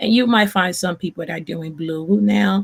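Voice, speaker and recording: Her voice is fairly low for a woman, with vocal fry and lively intonation. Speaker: event planner and designer. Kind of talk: live stream tutorial. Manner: halting, many fillers.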